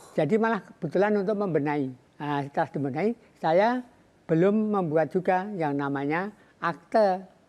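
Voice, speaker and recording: At a moderate pace, a man with a high-pitched voice talks with ordinary pitch variation. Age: 70s. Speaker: banana farmer. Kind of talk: interview.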